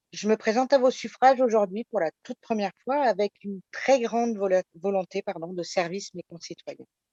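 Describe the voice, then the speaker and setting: Dark, mellow tone from a woman at a moderate pace. The sound is dry and close, with no echo. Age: 50s. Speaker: election candidate. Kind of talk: self-introduction.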